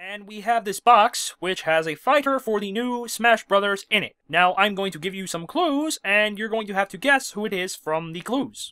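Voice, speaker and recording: A cartoonish character voice with a fairly high pitch moves along at a moderate pace. It runs on with hardly any pauses. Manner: exasperated, shouting.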